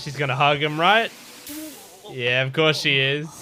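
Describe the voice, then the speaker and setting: With music in the background, a man in an Australian accent speaks in an excited tone. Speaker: anime reactor. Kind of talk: reaction commentary.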